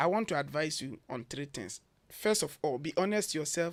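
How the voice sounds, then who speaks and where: A man with a Ghanaian accent talks at a moderate pace. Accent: typical Ghanaian. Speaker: education consultant. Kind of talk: radio interview.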